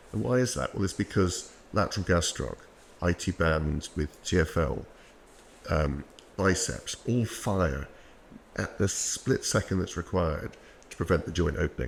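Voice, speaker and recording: Speaking with a British accent, a man uses a very deep, low pitch, vocal fry and lively intonation at a moderate pace, with long, frequent pauses. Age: 60s. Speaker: orthopaedic knee surgeon. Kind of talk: podcast interview.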